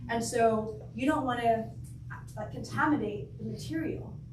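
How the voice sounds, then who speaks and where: Recorded with audible room echo and noticeable background noise, a woman speaks with an American accent. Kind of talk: talk to a church group. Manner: hesitant, many fillers.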